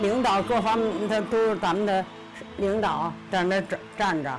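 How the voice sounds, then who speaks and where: Clear music plays in the background as a woman speaks in a Beijing accent. Her pace is very slow. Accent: Beijing Mandarin. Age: 80s+. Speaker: former circus performer. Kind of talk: interview answer. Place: home room.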